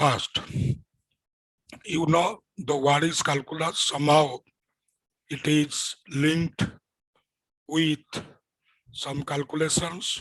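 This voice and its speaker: A man with an Indian accent at a very slow pace, in monotone, flat intonation with long, frequent pauses. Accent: Indian English (Odia). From India, Odisha. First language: Odia. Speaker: physics teacher. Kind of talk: lecture. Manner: repetitive, halting.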